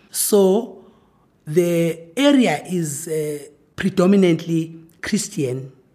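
Speaking very slowly with lively intonation, a woman with a Zulu accent has a fairly low pitch and a dark, mellow tone. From South Africa, rural KwaZulu-Natal. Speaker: professor. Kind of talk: interview.

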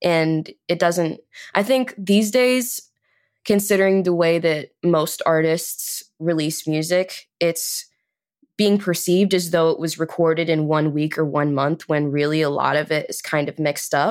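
A woman's unremarkable speaking voice, fairly low in pitch with ordinary pitch variation, at a fairly slow pace on a very clean recording with a silent background. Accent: American. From Chicago. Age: 20s. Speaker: singer and musician. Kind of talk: interview.

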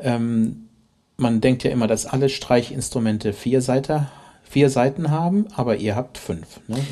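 This man talks at a fairly slow pace with a medium pitch and a dark, mellow tone on a very clean recording with a silent background. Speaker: podcast host, orchestra musician. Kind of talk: interview. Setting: orchestra venue. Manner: hesitant, many fillers.

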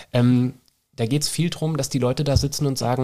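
Rattling along very fast, a man speaks at a medium pitch. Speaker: naturopath (Heilpraktiker). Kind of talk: casual chat. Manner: animated.

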